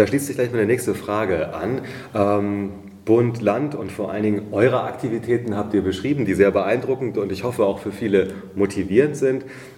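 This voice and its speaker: A moderate pace and ordinary pitch variation, with noticeable background noise and audible room echo. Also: man. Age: 40s. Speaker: podcast host for hospitality association. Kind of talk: interview.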